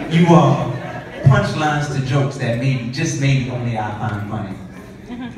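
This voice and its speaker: Light background noise and strong room echo surround a man's voice. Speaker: spoken word artist. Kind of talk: spoken word poem. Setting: stage with audience. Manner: lyrical, rhythmic, measured delivery; intimate, reverent, heartfelt. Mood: tender, romantic. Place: hall. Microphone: camera far.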